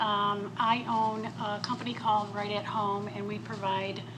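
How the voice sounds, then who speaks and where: A woman with a medium pitch is heard amid audible room echo and noticeable background noise. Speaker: business owner. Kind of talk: panel talk. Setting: stage with audience. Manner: soft-spoken.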